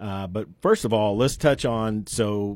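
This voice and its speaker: The man has a plain, everyday voice, fairly low in pitch with ordinary pitch variation. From eastern Oklahoma, Coweta. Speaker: sports podcast host. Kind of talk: casual interview. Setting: radio studio.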